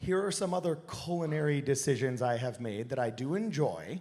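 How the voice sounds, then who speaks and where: There's audible room echo as a man talks at a fairly slow pace, his intonation lively and his tone animated. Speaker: podcaster giving a talk. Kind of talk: stage presentation. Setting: stage with audience on a cruise.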